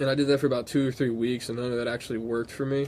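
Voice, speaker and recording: The man's medium-pitched voice is monotone, with flat intonation. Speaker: vlogger telling personal story. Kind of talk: personal storytelling monologue. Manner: casual, hesitant with repetitions.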